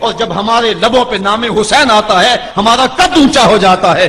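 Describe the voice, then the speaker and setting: A man speaks in a raised, projected voice with a passionate tone and ordinary pitch variation. Noticeable background noise is present. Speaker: Islamic preacher giving a sermon. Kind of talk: religious sermon (bayan) on the Battle of Karbala. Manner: emotive, passionate, oratorical.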